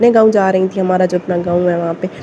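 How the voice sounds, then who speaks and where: There's noticeable background noise as a woman of medium pitch speaks at a moderate pace. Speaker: village family vlogger. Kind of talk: casual vlog talk. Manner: rambling, many fillers.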